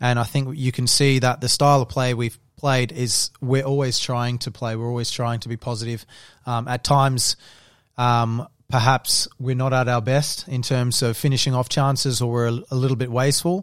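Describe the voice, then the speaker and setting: Heard on a very clean recording against a silent background, a man with an Australian accent talks at medium pitch with fairly even intonation. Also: moderate pace. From Adelaide, South Australia. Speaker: professional footballer. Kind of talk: casual interview.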